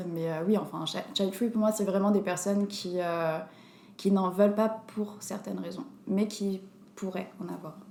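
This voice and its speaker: A woman speaks at a fairly slow pace with fairly even intonation, and noticeable background noise is present. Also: medium pitch for a woman. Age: 20s. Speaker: bartender and dancer. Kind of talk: casual chat.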